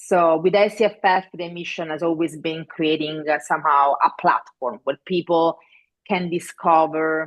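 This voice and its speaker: Intonation stays fairly even while the pace remains moderate. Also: woman. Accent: Italian. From Italy. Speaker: festival director. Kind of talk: interview. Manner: halting with fillers.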